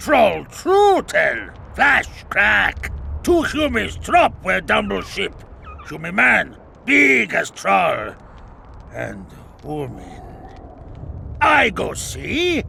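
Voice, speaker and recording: A man uses a put-on character voice at a very slow pace. Long, frequent pauses break it up, and clear background noise runs beneath. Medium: video game. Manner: curt.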